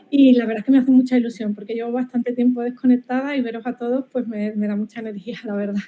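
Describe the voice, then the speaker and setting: The speaker rushes at a very fast pace with hardly any pauses, in an Andalusian accent and a monotone, flat intonation. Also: woman, high pitch for a woman. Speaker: marketing professor. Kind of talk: academic webinar presentation. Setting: online video call. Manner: halting, many repetitions.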